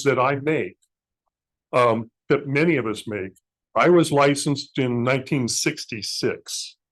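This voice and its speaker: The speaker is a man. His pitch sits fairly high. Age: 60s. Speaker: amateur radio club speaker. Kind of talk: presentation. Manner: halting.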